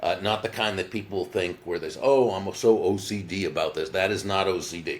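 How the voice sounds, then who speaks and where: Hardly pausing, a man talks at a fairly quick pace. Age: 60s. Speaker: business author. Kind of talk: interview. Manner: halting.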